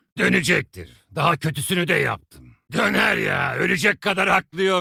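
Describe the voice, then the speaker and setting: A man does a raspy, theatrical cartoonish character voice, high in pitch, at a moderate pace with very even loudness. The sound is dry and close, with no echo. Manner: cocky, theatrical.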